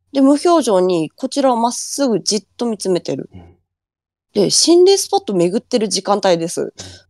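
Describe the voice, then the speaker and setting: Fairly high-pitched woman with a Fukushima accent, dry and close with no echo, on a very clean recording with a silent background. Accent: Fukushima dialect intonation. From Fukushima, Japan. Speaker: ghost story collector. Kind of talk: storytelling.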